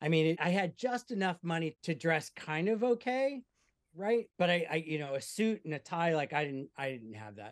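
Here a man speaks at a high pitch with very wide pitch swings. The sound is dry and close, with no echo. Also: moderate pace. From US Midwest (Omaha, Nebraska). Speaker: app company CEO and film producer. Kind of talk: casual interview.

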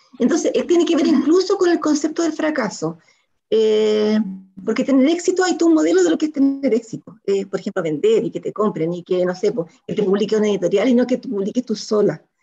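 Over music in the background, a woman talks at a fairly quick pace in a fairly high pitch with very wide pitch swings. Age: 60s. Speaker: writer. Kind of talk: interview.

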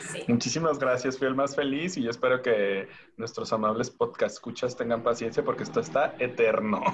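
Talking at a fairly quick pace with hardly any pauses, a man is heard over noticeable background noise. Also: medium pitch for a man, ordinary pitch variation. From Tijuana, Mexico. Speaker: podcast guest. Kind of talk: casual chat.

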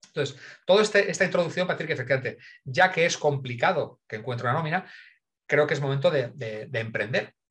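A man with a fairly high voice talks at a very fast pace. His tone is animated, and his intonation is lively. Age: 50s. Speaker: innovation consultant. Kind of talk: interview.

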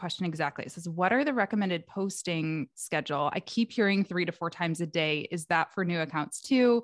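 Recorded very cleanly against a silent background with a dry, close sound and no echo, a woman with an unremarkable speaking voice and a fairly low pitch talks at a fairly quick pace. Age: 30s. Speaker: podcast host and online educator. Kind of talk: casual interview chat.

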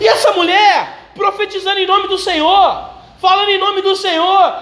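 Over noticeable background noise, a man speaks in a raised, projected voice at an extremely high pitch, his monotone, flat intonation carried at a fairly slow pace. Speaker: preacher. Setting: church. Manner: conversational, direct address to the congregation.

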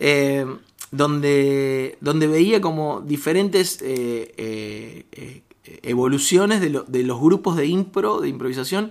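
The intonation is lively. The pace is very slow. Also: man. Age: 30s. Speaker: comedian and improv performer. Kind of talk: casual chat. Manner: halting.

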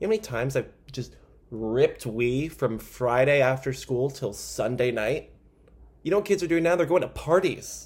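A somewhat breathy man's voice at medium pitch, with lively intonation and a moderate pace. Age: 20s. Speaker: comedy podcast host. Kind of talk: casual comedic monologue. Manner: animated.

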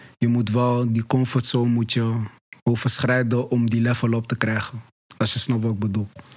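A man speaks at a moderate pace and a medium pitch. His intonation is monotone and flat, and his loudness is very even. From Brabant, Netherlands. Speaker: podcast host. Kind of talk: casual chat. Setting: studio.

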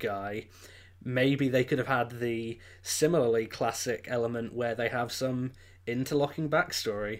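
A man with an English accent speaks at a fairly slow pace and with fairly even intonation on a very clean recording with a silent background. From England. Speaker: film review podcaster. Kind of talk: casual chat.

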